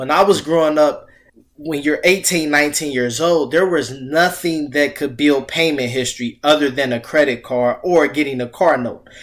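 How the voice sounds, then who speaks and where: In an ordinary speaking voice, a man with a fairly high pitch talks at a moderate pace with fairly even intonation. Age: 30s. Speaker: financial coach. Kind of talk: casual chat.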